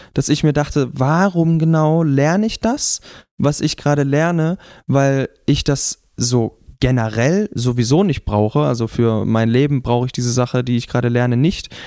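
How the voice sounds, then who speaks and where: A man with a fairly high pitch and a dark, mellow tone speaks at a moderate pace with ordinary pitch variation and very even loudness, the sound dry and close with no echo. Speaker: podcast host. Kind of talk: casual chat. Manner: raises voice into a show voice at the start.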